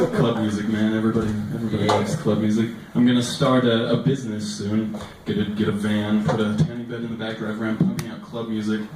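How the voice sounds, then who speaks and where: The man speaks very fast, and noticeable background noise is audible. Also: medium pitch for a man, fairly even intonation. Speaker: stand-up comedian. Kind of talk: stand-up comedy routine.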